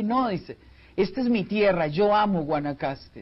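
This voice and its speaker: Here a man speaks with a high pitch. His pace is moderate. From Costa Rica. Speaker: family counselor and speaker; speaker. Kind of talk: TV interview. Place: studio. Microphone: lapel.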